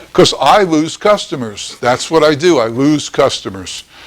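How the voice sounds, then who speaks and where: The speaker has an American accent and a fairly slow pace. The pitch swings very widely. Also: man. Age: 70s. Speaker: ice cream business instructor. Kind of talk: lecture. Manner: conversational, blunt.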